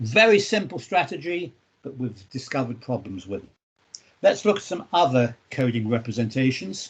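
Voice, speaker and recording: A somewhat breathy man speaks at a moderate pace. Both his loudness and his pitch swing widely. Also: medium pitch for a man. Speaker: university lecturer. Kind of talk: lecture.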